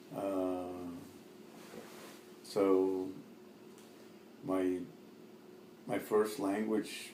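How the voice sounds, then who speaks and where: Noticeable background noise and audible room echo surround speech with fairly even intonation. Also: man. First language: Arabic. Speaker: immigrant interviewee. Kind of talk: oral history interview. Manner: halting, many fillers.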